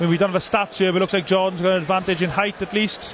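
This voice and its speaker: A very fast Welsh-accented delivery amid noticeable background noise. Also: man. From South Wales. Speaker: boxing commentator. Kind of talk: live commentary. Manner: animated.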